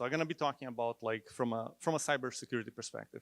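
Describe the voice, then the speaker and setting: Recorded very cleanly against a silent background, with a dry, close sound and no echo, a man of medium pitch speaks with a non-native accent. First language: not English. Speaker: cybersecurity engineer. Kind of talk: conference talk.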